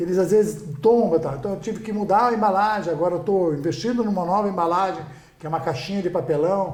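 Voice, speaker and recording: With audible room echo around him, a man talks at a very fast pace in a high pitch with ordinary pitch variation. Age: 60s. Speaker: restaurant owner. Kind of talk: podcast interview. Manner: repetitive, halting.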